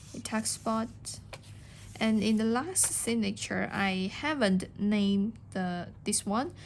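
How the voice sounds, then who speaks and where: With a non-native accent, a woman speaks very slowly in a medium pitch and fairly even intonation. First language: not English. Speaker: junk journal crafter. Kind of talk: product show-and-tell tutorial. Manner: halting, with fillers.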